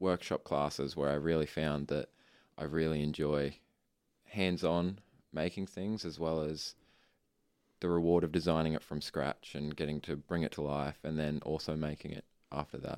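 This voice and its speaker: A man's very deep, low voice with an Australian accent, at a moderate pace with fairly even intonation and long, frequent pauses, in a very clean recording with a silent background. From Australia, Ipswich, Queensland. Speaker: architecture student. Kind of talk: interview.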